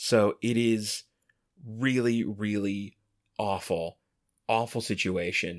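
A man talks very slowly in a fairly low voice, leaving long, frequent pauses. The recording is very clean, and the background is silent. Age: 30s. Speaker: podcast co-host. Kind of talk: casual chat. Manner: animated.

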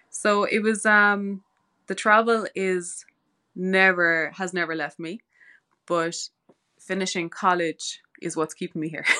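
With a Cork accent and a bright, sharp tone, a woman of medium pitch speaks at a fairly slow pace with fairly even intonation and long, frequent pauses against a quiet background. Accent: Irish, Cork. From Ireland, West Cork. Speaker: osteopathy student and holistic healer. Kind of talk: podcast interview.

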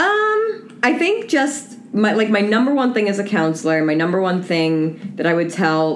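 A woman speaks with an American accent over noticeable background noise, with audible room echo. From Long Island, New York. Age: 30s. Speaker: counselor. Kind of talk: casual chat.

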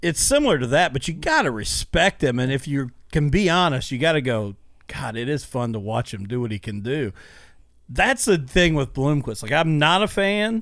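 A man with an American accent has a plain, everyday voice, fairly high in pitch, with lively intonation at a moderate pace. The recording is very clean, with a silent background. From Illinois. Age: 30s. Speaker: podcast host. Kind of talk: casual chat. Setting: studio.

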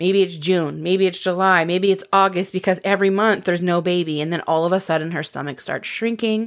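Speaking with an American accent at a fairly quick pace, a woman with a medium pitch sounds animated, barely pausing, on a very clean recording with a silent background. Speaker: podcast co-host. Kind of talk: casual storytelling chat. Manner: animated, laughing.

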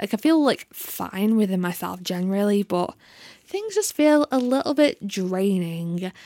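A woman of medium pitch speaks slowly-ish, at a fairly slow pace, with a dark, mellow tone and lively intonation. The recording is very clean with a silent background and a dry, close sound with no echo. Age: 20s. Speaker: podcast host. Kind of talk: solo monologue.

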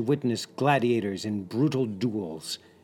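A man speaks in a dramatic tone with music playing in the background. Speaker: narrator. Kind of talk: epic historical narration, dramatic scripted storytelling. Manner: vivid, building tension, dramatic and ominous; addresses listener directly, as a guide.

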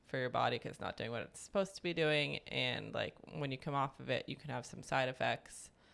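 A woman talks at a fairly quick pace. She leaves hardly any pauses. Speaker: podcast host. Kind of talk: casual chat.

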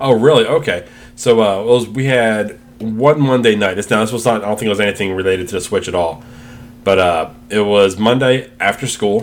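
Loud and fairly low-pitched, a man speaks at a fairly quick pace with ordinary pitch variation. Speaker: podcast co-host. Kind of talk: casual chat.

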